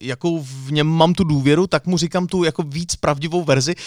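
Recorded dry and close with no echo, a man talks in a normal speaking voice at a fairly high pitch. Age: 30s. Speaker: radio presenter and podcast co-host. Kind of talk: casual chat.

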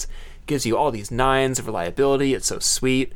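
Speaking at a fairly quick pace, a man uses a plain, everyday voice with a fairly high pitch. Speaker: podcast host. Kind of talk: casual chat. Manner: chatty, laughs often.

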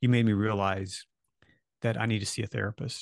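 Recorded with a dry, close sound, no echo and a quiet background, a man with an American accent uses an ordinary speaking voice, fairly low in pitch, with fairly even intonation at a moderate pace. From Maryland, US. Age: 50s. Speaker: documentary filmmaker. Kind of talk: casual interview.

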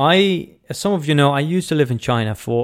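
Over a very clean recording with a silent background, a man speaks at a moderate pace with a Dutch accent. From Netherlands. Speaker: podcast host and business coach. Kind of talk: solo podcast talk. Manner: casual with many fillers.

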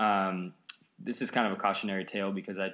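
Bright and sharp in tone, the voice carries an American accent. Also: man. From US Pacific Northwest, Edmonds near Seattle. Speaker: amateur runner. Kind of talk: casual chat.

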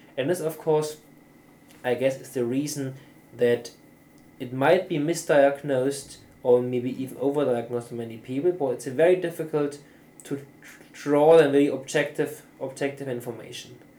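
The man's voice has a dark, mellow tone and a fairly high pitch. His loudness swings widely. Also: moderate pace. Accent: German. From southern Germany, near Austria. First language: German. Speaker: neuropsychologist and professor. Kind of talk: interview. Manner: halting.

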